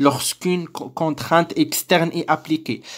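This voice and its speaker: Spoken with a Moroccan accent, the voice comes through on a very clean recording with a silent background. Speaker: teacher. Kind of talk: lecture explanation.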